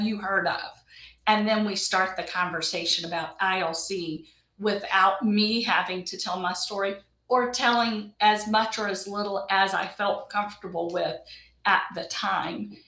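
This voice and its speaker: Amid audible room echo, a woman with a medium pitch talks at a moderate pace with fairly even intonation. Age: 60s. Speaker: patient advocate. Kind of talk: interview. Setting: video call.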